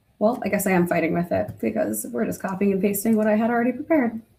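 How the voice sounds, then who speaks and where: A woman speaks with an American accent at a medium pitch, with ordinary pitch variation. Her tone is dark and mellow, with vocal fry. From New Jersey. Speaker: internal communications professional. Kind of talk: webinar demo. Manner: fast.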